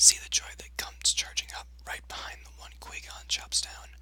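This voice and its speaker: Whispered words come at moderate speed against noticeable background noise. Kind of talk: ASMR reading of a fan theory post.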